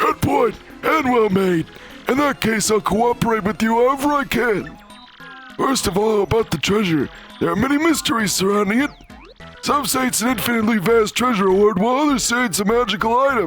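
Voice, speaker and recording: Creaky and put-on, this character voice moves at a fairly quick pace with ordinary pitch variation and very even loudness, while clear music plays in the background. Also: man, high pitch for a man. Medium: game stream. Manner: rambling, scholarly.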